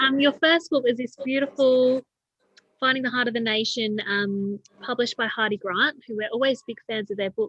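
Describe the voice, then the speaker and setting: A woman with an Australian accent talks at a moderate pace in a high voice with ordinary pitch variation. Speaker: librarian. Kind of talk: online interview host.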